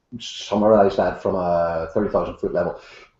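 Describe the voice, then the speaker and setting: A man with a strong Irish accent speaks at a moderate pace. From Ireland. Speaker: author and leadership consultant. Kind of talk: interview.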